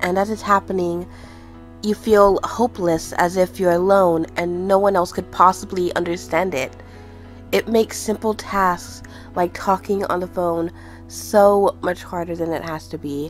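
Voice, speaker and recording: Music plays in the background as a woman speaks at a medium pitch. Her pace is fairly slow and her intonation fairly even. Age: 20s. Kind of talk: personal spoken essay on mental health.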